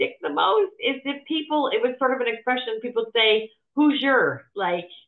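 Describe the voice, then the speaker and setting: A woman with an American accent speaks in a high pitch, her voice swinging very widely up and down. Music plays in the background. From US Midwest, Cleveland, Ohio. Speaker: non-executive director. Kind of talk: casual interview chat.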